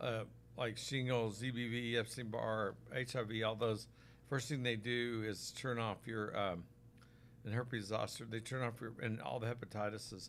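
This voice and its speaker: Speaking with an American accent, a man keeps a medium pitch and a monotone, flat intonation. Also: moderate pace. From Oklahoma, US. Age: 60s. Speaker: physician selling supplements. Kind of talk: live stream product talk. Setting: live stream on Facebook and YouTube. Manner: casual, conversational.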